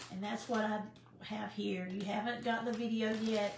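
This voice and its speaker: A woman with an American accent at a moderate pace, fairly even intonation, audible room echo and light background noise. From US South, Sand Mountain (Alabama/Georgia area); Alabama. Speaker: cooking channel host; home cooking livestreamer. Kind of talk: casual live-stream chat. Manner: halting, many fillers. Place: kitchen. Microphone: too quiet, camera moved closer; phone near.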